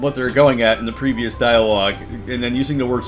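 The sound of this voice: The reading voice sounds unforced. Intonation stays fairly even.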